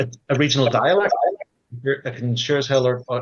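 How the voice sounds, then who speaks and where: With a Belfast accent, a man speaks at a fairly quick pace. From Northern Ireland, Belfast. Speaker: credit collections professional. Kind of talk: panel discussion.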